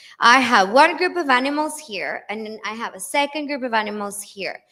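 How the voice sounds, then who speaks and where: In a Spanish accent, a woman talks at a moderate pace. Her intonation is lively. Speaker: English teaching lecturer. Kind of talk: lecture. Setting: conference with live audience.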